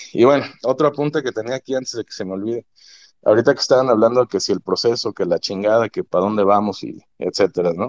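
A man at a medium pitch speaks at a very fast pace. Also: ordinary pitch variation, dry, close sound with no echo. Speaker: football analyst fan. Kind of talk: casual chat.

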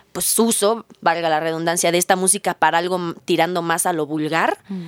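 At a moderate pace, a woman with a Mexican accent speaks in a fairly low pitch, captured in a dry, close recording without echo. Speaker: podcast host. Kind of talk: casual interview.

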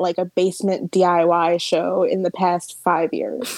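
A woman at medium pitch with an East Coast US accent, moderate pace, and a dry, close sound with no echo. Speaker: podcast guest. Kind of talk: casual chat. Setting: video call.

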